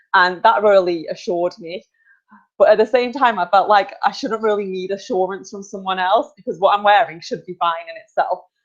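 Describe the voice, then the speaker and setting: Speaking in a Potteries accent at a fairly quick pace, a woman uses a medium pitch with ordinary pitch variation and big swings in loudness. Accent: Stoke-on-Trent (Potteries) English. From England, Stoke-on-Trent. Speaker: online talk show host. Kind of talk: casual chat. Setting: video call.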